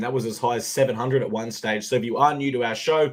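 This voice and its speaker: Speaking in an Australian accent at a very fast pace, a man keeps a medium pitch with ordinary variation amid noticeable background noise. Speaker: sports betting podcast host. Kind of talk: casual sports chat. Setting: live stream.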